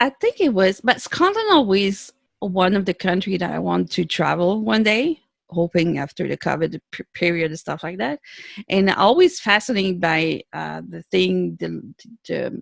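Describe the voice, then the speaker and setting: A woman speaks with a Quebec accent, showing big swings in loudness. The sound is dry and close with no echo, on a very clean recording with a silent background. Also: moderate pace. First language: French. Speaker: author. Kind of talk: interview. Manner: halting.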